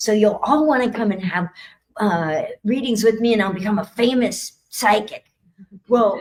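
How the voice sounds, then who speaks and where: A woman with a fairly high pitch and ordinary pitch variation speaks at a fairly slow pace. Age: 60s. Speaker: psychic and spiritual speaker. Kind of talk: talk at expo. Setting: stage with audience and livestream.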